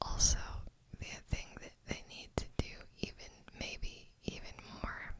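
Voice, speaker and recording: Someone whispers at a very slow pace. Noticeable background noise runs underneath. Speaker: ASMR creator and gamer. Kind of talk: ASMR gaming account review. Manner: soft-spoken, whispered.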